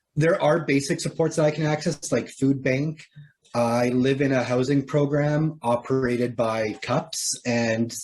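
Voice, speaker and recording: In a Canadian accent, an unremarkable speaking voice moves with fairly even intonation. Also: man. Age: 30s. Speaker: person with lived experience of poverty. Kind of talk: interview.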